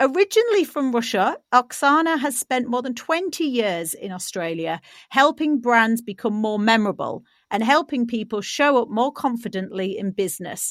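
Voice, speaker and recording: In a British accent, a woman speaks at a high pitch with very wide pitch swings on a very clean recording with a silent background. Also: moderate pace. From Britain. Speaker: podcast host. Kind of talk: scripted intro; interview.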